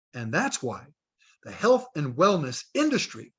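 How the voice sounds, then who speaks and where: Speaking at a high pitch, this man's voice swings very widely up and down. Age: 60s. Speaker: health product distributor trainer. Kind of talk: training talk on video call.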